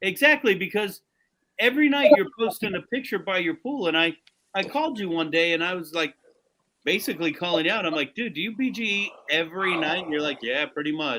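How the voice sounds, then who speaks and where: A man speaks in a high pitch with a bright, sharp tone and very wide pitch swings. His voice is raised and projected, moving at a fairly quick pace. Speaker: podcast host. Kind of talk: game show hosting; casual chat. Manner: animated.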